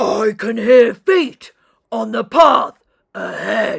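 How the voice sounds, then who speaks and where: In a put-on character voice, the speaker growls at a very slow pace. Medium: read story.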